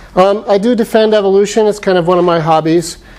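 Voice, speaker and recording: A man with an American accent at a moderate pace, with ordinary pitch variation and noticeable background noise. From Arizona (Phoenix). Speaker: professor. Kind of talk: lecture. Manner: loud.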